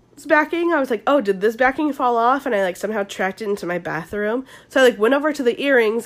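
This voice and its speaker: Her intonation is lively. This woman speaks with a Southern California accent. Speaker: podcast host. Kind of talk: solo casual chat. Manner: casual, filler-heavy.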